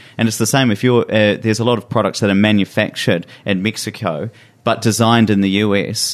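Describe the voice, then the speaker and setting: A man talks at a very fast pace with a New Zealand accent. His voice is fairly low and his intonation fairly even. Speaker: tech partnerships manager and podcaster. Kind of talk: casual chat.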